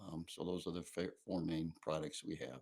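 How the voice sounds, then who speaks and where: The speaker is a man. He has a very deep, low pitch. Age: 70s. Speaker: bakery and gelato shop owner. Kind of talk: interview. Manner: halting.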